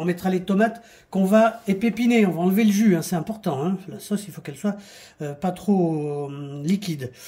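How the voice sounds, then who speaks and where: Pitched high, a man's voice has a dark, mellow tone and ordinary pitch variation. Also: big swings in loudness. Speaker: cooking show host. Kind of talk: cooking tutorial. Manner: fast.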